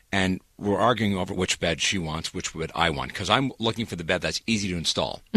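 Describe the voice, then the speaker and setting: With a bright, sharp tone, a man delivers his words at a fairly quick pace. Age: 40s. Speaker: radio host. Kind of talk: casual chat.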